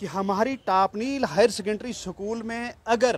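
Pitched high, a man talks at a fairly slow pace with ordinary pitch variation in a dry sound with no echo. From Chenab valley, Jammu and Kashmir; Jammu and Kashmir, India. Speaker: local activist. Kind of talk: interview. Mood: aggrieved, demanding. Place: street. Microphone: handheld.

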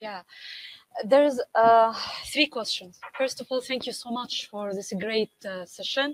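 A woman has a plain, everyday voice, fairly high in pitch, with ordinary pitch variation. She speaks at a fairly slow pace in a dry, close sound with no echo. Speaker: event moderator. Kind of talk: webinar Q&A. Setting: video call.

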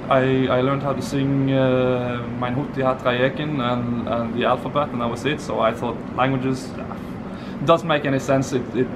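A man with a Norwegian accent at a moderate pace, over noticeable background noise. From Norway. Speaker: polyglot, conference attendee. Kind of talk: casual interview. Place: street. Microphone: phone near.

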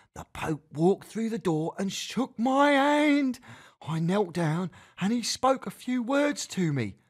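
Plain reading aloud is all this recording holds.

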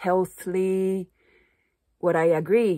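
A woman speaks with a Japanese accent at a very slow pace, her pitch fairly low. Her intonation is monotone and flat, over a quiet background. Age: 30s. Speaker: Japanese teacher and vlogger; vlogger, language teacher. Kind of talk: casual vlog monologue; casual vlog chat. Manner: halting, frequent fillers. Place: home room. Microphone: phone near.

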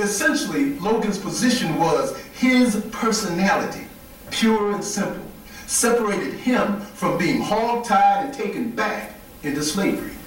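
A fairly slow voice with an American accent, set against noticeable background noise. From upstate New York, Wayne County. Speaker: historical reenactor and lecturer. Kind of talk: lecture.

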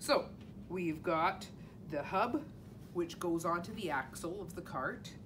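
There is noticeable background noise in this clip. A woman speaks at a very slow pace. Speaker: teacher reading to children. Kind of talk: storytime introduction and explanation. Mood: warm, friendly. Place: classroom. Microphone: camera far.

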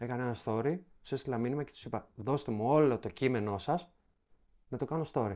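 A dark, mellow tone with ordinary pitch variation moves at a fairly quick pace on a very clean recording with a silent background. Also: man. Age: young. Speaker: comedy content creator. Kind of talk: casual chat.

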